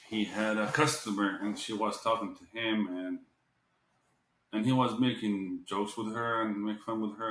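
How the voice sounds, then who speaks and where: Fairly even intonation marks this man's speech, delivered at a fairly low pitch in an Arabic accent. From Jordan. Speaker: restaurant owner. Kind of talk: podcast interview.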